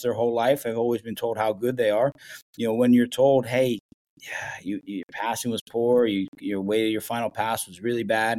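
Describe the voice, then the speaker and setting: Over a very clean recording with a silent background, a man with an American accent speaks at a moderate pace and medium pitch, his tone dark and mellow and his intonation fairly even. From Ohio, US Midwest. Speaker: professional soccer head coach. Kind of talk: casual interview chat.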